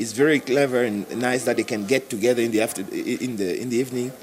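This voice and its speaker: A man with a medium pitch speaks at a fairly quick pace against noticeable background noise. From Cameroon. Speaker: bass player. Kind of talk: interview. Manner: halting, many repetitions.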